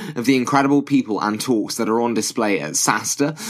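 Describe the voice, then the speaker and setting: A man rattles off his words very fast with noticeable background noise behind him. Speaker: podcast host. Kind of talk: podcast intro and outro.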